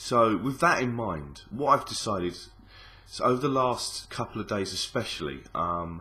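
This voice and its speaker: A man with a Cockney accent talks at a moderate pace in a medium pitch, with vocal fry. His pitch swings very widely. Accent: Cockney London English. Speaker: gaming YouTuber. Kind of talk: casual vlog. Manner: mumbling, hesitant with many ums.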